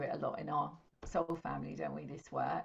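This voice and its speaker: This is a woman speaking. She talks with an English accent. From England. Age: 50s. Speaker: intuitive astrologer and spiritual teacher. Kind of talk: interview.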